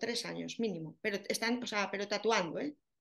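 A woman speaks with an Aragonese accent. Her pitch sits fairly high, and her intonation is lively. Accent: Aragonese Spanish, still noticeable. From Spain, Zaragoza (Aragon). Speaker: tattoo artist specialising in areola reconstruction. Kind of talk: casual interview.

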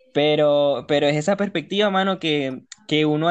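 A man with an ordinary speaking voice talks in a fairly high pitch with fairly even intonation. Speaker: podcast co-host. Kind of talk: casual chat.

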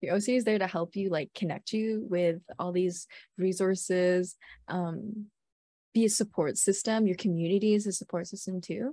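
A woman speaks at a medium pitch and a moderate pace with a dark, mellow tone. Her intonation is fairly even, and the sound is dry and close with no echo. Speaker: student podcast co-host. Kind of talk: casual chat.

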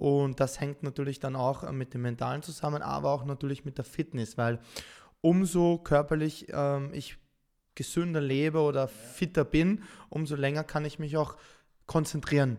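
On a very clean recording with a silent background, a man with a fairly high pitch and a dark, mellow tone talks at a moderate pace. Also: fairly even intonation. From Austria, Vienna. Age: 30s. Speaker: professional esports gamer. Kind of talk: podcast interview.

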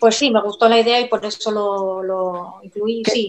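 It is a plain, everyday voice. The delivery is fairly slow with fairly even intonation. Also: woman. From Asturias, Spain. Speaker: novelist. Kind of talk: live-streamed book presentation interview. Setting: video call livestream.

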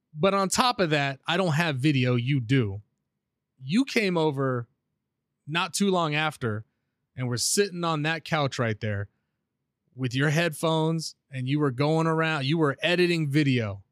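The recording is very clean, with a silent background and a dry, close sound free of echo. A man with a fairly high pitch talks at a fairly slow pace, using lively intonation and long, frequent pauses. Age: 30s. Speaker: podcast host. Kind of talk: casual chat. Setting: home studio. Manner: animated.

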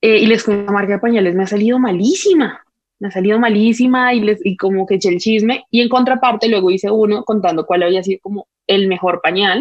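Very fast and animated, a woman speaks at medium pitch. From Colombia. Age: 20s. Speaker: social media creator and mother. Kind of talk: casual chat.

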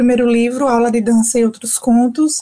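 This woman speaks with a high pitch. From Brazil, Sergipe interior (Capela). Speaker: writer. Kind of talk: radio interview. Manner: hesitant filler-heavy.

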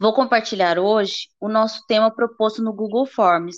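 A woman speaks at a fairly slow pace with fairly even intonation. Her pitch is fairly high, in a normal speaking voice. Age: 20s. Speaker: art student. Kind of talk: educational podcast presentation.

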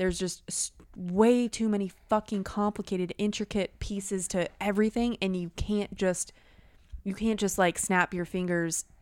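In a very clean recording with a silent background and a dry, close sound with no echo, a woman speaks with an American accent. Her medium-pitched delivery is moderate in pace, with monotone, flat intonation. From Wisconsin, US Midwest. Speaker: podcast co-host. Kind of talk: casual chat.

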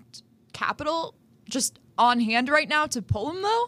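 A woman's raised, projected voice, high-pitched and bright and sharp, with lively intonation. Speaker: college radio sports host. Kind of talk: casual chat.

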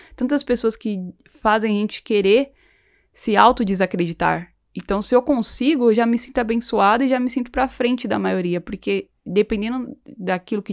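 On a very clean recording with a silent background and a dry, close sound with no echo, a woman with a plain, everyday voice speaks at a fairly quick pace and fairly high pitch with ordinary pitch variation. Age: 20s. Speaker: podcast host. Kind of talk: casual chat.

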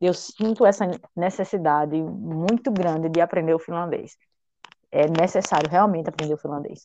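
At a moderate pace, a woman with a fairly low pitch and a dark, mellow tone speaks with ordinary pitch variation. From Brazil, Paraíba. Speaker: English teacher. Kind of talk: interview.

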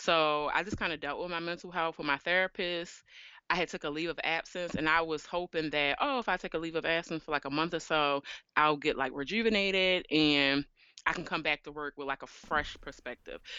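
A woman in a plain, everyday voice talks at a fairly quick pace and a fairly low pitch. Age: 30s. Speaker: accountant and podcast host. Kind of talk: casual interview chat.

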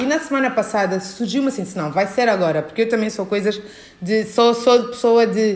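Here is a woman with a fairly high pitch. Her voice shows ordinary pitch variation. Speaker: podcast host. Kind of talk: casual interview chat. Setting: guest's dance studio.

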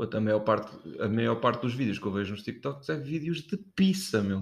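Medium pitch from a man speaking at a moderate pace, with very wide pitch swings. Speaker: podcast co-host. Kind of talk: casual chat. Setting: kitchen.

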